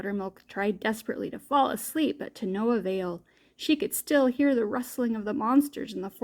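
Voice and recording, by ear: Someone reads the text aloud in a natural voice.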